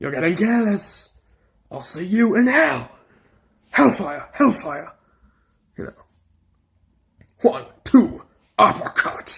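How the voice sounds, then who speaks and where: Fairly high and put on, this character voice has an English accent and very wide pitch swings. It moves at a fairly slow pace with long, frequent pauses. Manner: menacing.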